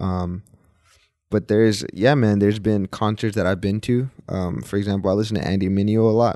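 A man with an American accent speaks at a fairly quick pace in a fairly low pitch, his tone dark and mellow. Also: fairly even intonation, quiet background. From Texas, Dallas. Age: 20s. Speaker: worship leader. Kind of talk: casual chat. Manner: halting.

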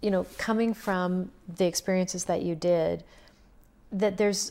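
A woman with a Canadian accent speaks at a fairly slow pace in a medium-pitched voice. Her tone is dark and mellow, with ordinary pitch variation. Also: very clean recording, silent background. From Saskatchewan, Canada. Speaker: counselor. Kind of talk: casual interview.

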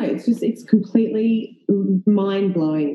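This voice has an Australian accent and is somewhat breathy. It moves at a fairly slow pace with ordinary pitch variation. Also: woman. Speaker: actress and filmmaker. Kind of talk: casual chat.

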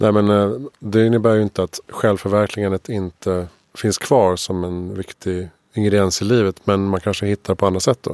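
A man talks at a moderate pace in a plain, everyday voice, fairly low in pitch, with fairly even intonation. The sound is dry and close, with no echo. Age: 40s. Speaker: podcast host. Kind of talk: interview conversation. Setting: studio.

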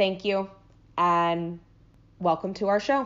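A woman's medium-pitched voice at a moderate pace. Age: 20s. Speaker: podcast sound editor. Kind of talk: prepared personal statement.

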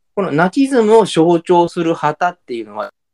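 A man's high voice with very wide pitch swings at a moderate pace, in a dry, close sound with no echo. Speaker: podcast co-host. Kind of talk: casual chat. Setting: remote two-location recording.

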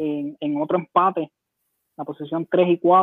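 A man in a Puerto Rican accent, high-pitched and fairly slow, with monotone, flat intonation. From Puerto Rico, Humacao. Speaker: baseball commentator. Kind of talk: casual chat. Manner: halting, many repetitions.

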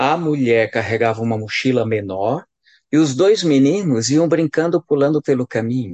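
An ordinary speaking voice from a man at medium pitch, with lively intonation and a moderate pace, in a dry, close sound with no echo and a quiet background. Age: 40s. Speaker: priest. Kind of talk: casual chat.

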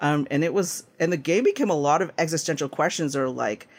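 A man talks at a fairly high pitch, and his pitch varies in an ordinary way. It is an ordinary speaking voice on a very clean recording with a silent background. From Canada. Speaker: game designer. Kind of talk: interview.

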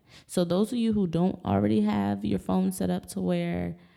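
Her tone dark and mellow, a woman speaks with very wide pitch swings. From US, Maryland. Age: 20s. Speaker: podcast host. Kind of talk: casual monologue.

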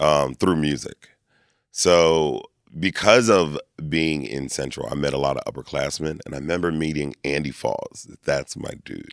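A man's very deep, low voice with an American accent, ordinary pitch variation and big swings in loudness, on a very clean recording with a silent background and a dry, close sound with no echo. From Lancaster, Pennsylvania. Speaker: performer and event host. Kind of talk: casual interview. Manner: animated.

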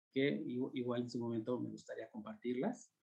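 The pace is fairly slow. It is an unremarkable speaking voice. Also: man. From Mexico City (Ajusco). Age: 40s. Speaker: UFO sighting witness and enthusiast. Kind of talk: casual chat.

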